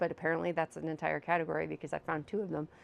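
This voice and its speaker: A woman is speaking. She is soft-spoken. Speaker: video blogger. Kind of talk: casual chat. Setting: home living room. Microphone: new mic.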